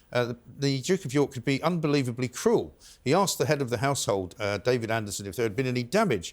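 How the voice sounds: Natural-sounding reading voice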